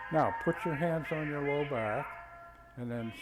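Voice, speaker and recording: Over music in the background, a man with a fairly high voice speaks at a very slow pace with lively intonation. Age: 80s+. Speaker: retired physician and qigong instructor. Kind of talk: exercise class instruction.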